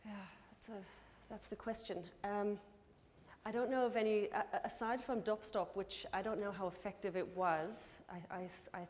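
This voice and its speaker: A woman speaks at a moderate pace with an American accent and fairly even intonation. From California, US. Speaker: anthropologist, conference speaker. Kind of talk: conference Q&A answer. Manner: halting, many repetitions.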